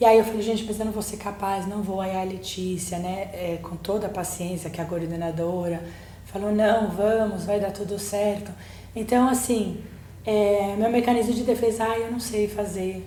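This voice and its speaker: A woman at medium pitch with fairly even intonation and a moderate pace, amid noticeable background noise and audible room echo. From Germany, then Brazil. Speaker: psychologist, book co-author. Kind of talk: podcast interview.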